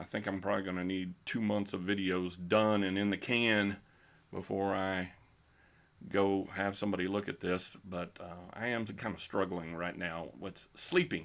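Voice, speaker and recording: In a Texan accent, a man with a very deep, low voice speaks at a moderate pace in a flat monotone. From Texas. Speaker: bowling coach. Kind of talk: live stream Q&A. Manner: unscripted, hesitant with fillers.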